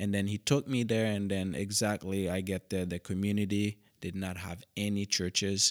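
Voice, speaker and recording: In a Haitian accent, a man talks at a moderate pace with hardly any pauses, his fairly low voice fairly even in intonation, in a dry, close sound with no echo on a very clean recording with a silent background. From Haiti, Cap-Haïtien. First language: Haitian Creole. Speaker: missionary pastor. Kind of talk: interview.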